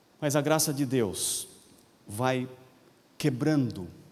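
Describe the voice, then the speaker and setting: Speaking at a very slow pace, a man is heard with audible room echo. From Paraná, Brazil (Londrina). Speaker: pastor. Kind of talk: sermon. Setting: convention center with congregation.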